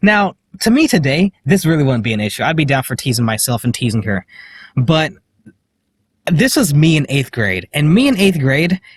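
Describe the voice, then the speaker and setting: Somewhat breathy and fairly high-pitched, a man talks at a moderate pace with very wide pitch swings and long, frequent pauses. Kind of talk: casual vlog talk to camera. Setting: in a parked car. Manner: hesitant, many filler words.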